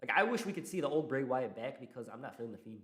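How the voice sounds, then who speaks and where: At a very fast pace, a man talks in an animated tone at medium pitch. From Morocco. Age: 20s. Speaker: wrestling YouTuber. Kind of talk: live stream chat.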